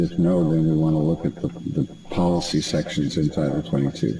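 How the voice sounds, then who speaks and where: A man speaks at a medium tempo with noticeable noise in the background. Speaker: trainer for health facility surveyors. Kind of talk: online training presentation.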